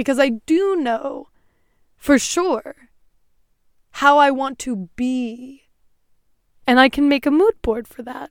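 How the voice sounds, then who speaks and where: Dry and close with no echo, a woman's high voice moves very slowly with long, frequent pauses and ordinary pitch variation. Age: 20s. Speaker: podcast host. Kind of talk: solo tutorial talk.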